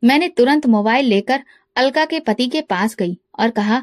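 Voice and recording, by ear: Recorded dry and close with no echo, a woman speaks at a moderate pace with a fairly high pitch and ordinary pitch variation.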